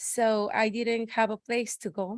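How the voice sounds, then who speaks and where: A woman with a Spanish accent speaks at a fairly high pitch. The background is quiet. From Mexico, Guadalajara. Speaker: public commenter. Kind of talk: unprepared public comment. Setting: city council meeting.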